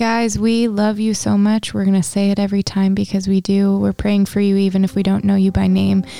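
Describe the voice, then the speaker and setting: Her tone dark and mellow, a woman at medium pitch speaks at a fairly quick pace with hardly any pauses, monotone, flat intonation and very even loudness. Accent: American. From Pennsylvania. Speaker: podcast co-host.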